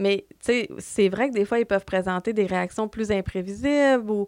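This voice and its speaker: An ordinary speaking voice from a woman, medium in pitch, with ordinary pitch variation. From Quebec, Lac-Saint-Jean (Dolbeau). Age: 30s. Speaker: community mental health worker. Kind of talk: podcast interview.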